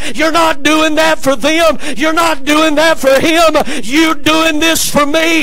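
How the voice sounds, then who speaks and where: A man's raised, projected voice in a Southern US accent, extremely high-pitched and animated, at a fairly slow pace with ordinary pitch variation and light background noise. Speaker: preacher. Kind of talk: sermon in a church service, preacher in full flow, call-and-response with congregation. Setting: church. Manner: animated, exhorting, rallying the congregation to say amen. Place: church. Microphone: podium.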